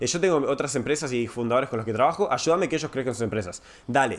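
A man with lively intonation. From Uruguay. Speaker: tech startup growth advisor. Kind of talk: casual chat.

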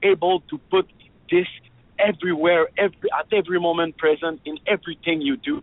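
Fairly quick delivery with fairly even intonation. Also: man. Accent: French. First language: French. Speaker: free hugs activist. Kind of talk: casual interview chat. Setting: phone call.

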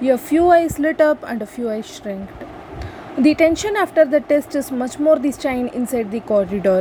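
With noticeable background noise around her, a woman talks in a high voice at a moderate pace. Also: lively intonation. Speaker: student speaker. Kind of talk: prepared speech. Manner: halting.

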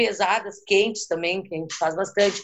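A woman with a southern Brazilian accent speaks with fairly even intonation. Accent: gaúcho. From Rio Grande do Sul, Brazil (Porto Alegre). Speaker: interview guest. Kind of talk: casual interview.

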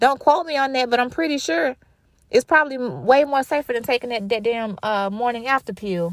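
A woman at a high pitch, animated in tone and lively in intonation, at a fairly quick pace, with a dry, close sound and no echo. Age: 30s. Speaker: podcast host. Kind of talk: casual monologue.

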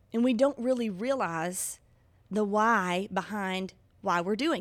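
A woman talks with a Mississippi accent. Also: very clean recording, silent background. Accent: Southern US (Mississippi). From US South, Mississippi. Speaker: podcast host. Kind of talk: devotional monologue.

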